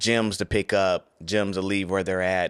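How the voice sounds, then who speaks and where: An ordinary speaking voice from a man, fairly low in pitch, at a fairly slow pace. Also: very clean recording, silent background. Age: 40s. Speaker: podcast host. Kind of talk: casual chat.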